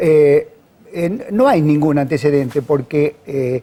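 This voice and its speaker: A man talks with a dark, mellow tone and a fairly high pitch. His pitch varies in an ordinary way. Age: 60s. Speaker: judge. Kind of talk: interview. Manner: formal.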